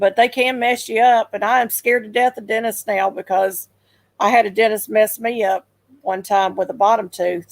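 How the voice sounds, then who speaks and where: A woman speaks with a Southern US accent at a fairly high pitch and moderate pace. Her intonation is fairly even, and the sound is dry and close with no echo. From Memphis, Tennessee. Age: 60s. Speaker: livestream host. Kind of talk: casual chat. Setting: live stream.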